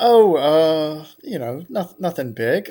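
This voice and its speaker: An American accent marks this man's very slow delivery. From South Carolina. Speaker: trivia contestant.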